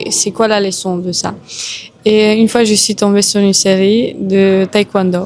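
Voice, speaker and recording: At a fairly slow pace, a woman with a medium pitch and a Romanian accent speaks over noticeable background noise. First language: Romanian (speaking French). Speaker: Muay Thai boxer. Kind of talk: interview.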